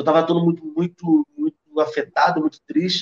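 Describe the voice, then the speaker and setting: A high-pitched man talks at a moderate pace with fairly even intonation, the sound dry and close with no echo. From Rio de Janeiro, Brazil. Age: 30s. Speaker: history teacher and cultural producer. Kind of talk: casual interview conversation.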